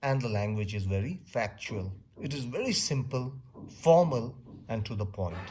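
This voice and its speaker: A man with a medium-pitched, dark and mellow voice speaks at a moderate pace with lively intonation, and some room echo can be heard. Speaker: teacher. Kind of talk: lecture. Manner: loud. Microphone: close to the mic.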